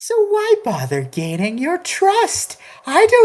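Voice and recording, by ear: Natural-voiced reading aloud.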